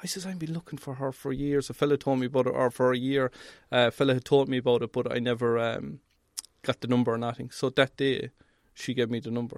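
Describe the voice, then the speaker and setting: In an Irish accent, a man speaks at a very fast pace and a medium pitch with fairly even intonation, his sound dry and close with no echo on a very clean recording with a silent background. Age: 40s. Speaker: welding inspector. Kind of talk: casual chat. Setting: mobile studio.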